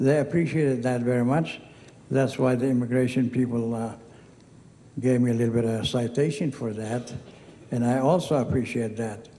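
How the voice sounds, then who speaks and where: A man with a medium-pitched voice talks at a moderate pace with fairly even intonation, long and frequent pauses, and audible echo in the room. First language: Arabic. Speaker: hall of fame inductee. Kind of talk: acceptance speech. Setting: stage with audience. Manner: casual, digressive storytelling.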